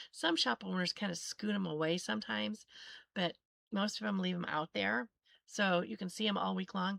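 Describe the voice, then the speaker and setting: A woman speaks at a moderate pace in a fairly low voice with vocal fry, her pitch swinging very widely. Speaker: sewing livestream host. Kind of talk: casual chat. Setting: live stream. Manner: halting.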